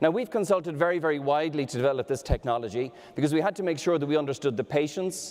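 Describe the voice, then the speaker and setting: Lively in intonation, a man with an Irish accent talks at a very fast pace. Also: fairly high pitch for a man. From Ireland. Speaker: medtech startup executive. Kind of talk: startup pitch presentation.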